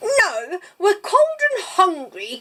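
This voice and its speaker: An extremely high, put-on character voice leaps through very wide pitch swings. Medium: read story. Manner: nervous.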